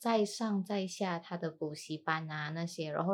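The recording is very clean, with a silent background. The pace is moderate. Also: woman. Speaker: podcast host. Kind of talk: casual chat. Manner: soft-spoken. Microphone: new microphone.

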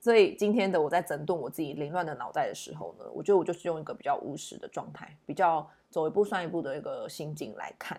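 A woman with a dark, mellow tone and vocal fry, talking at a very fast pace with lively intonation and big swings in loudness. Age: 30s. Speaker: tarot reader and podcast host. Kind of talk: solo podcast monologue, reflective daily tarot reading. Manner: hesitant with many fillers.

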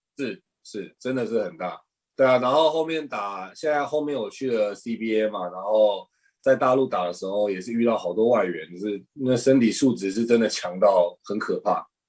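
At a medium pitch and moderate pace, a man uses an ordinary speaking voice with ordinary pitch variation. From Taiwan. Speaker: professional basketball player. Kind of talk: interview.

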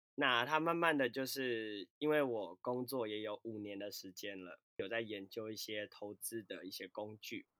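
A man speaks fairly slowly at a medium pitch, barely pausing, his tone bright and sharp. His loudness swings a lot while his pitch varies in an ordinary way, and the sound is dry and close with no echo. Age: 20s. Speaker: fitness and dance instructor. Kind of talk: casual chat.

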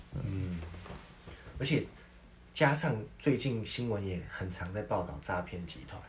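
At a fairly slow pace, a man with a very deep, low pitch and a somewhat breathy sound speaks with very wide pitch swings, big swings in loudness and long, frequent pauses in audible room echo. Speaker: podcast co-host. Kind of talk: casual chat.

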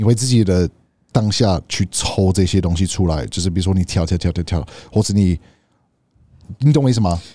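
Recorded very cleanly against a silent background, a man with a very deep, low pitch and a dark, mellow tone speaks at a fairly quick pace with ordinary pitch variation and long, frequent pauses. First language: English (speaking Chinese). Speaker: podcast co-host. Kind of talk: casual chat. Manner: halting.

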